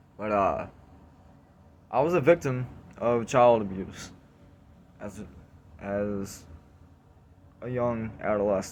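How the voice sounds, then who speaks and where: A man of medium pitch talks at a very slow pace, with long, frequent pauses, big swings in loudness and ordinary pitch variation. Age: 20s. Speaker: video blogger. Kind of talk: personal testimony. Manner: halting.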